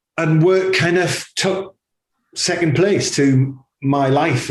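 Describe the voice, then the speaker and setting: Speaking very slowly, a man talks with a Geordie accent. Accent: Geordie (Newcastle). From northern England, Newcastle. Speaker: advertising agency CEO. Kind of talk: interview conversation. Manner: hesitant, many fillers and repetitions.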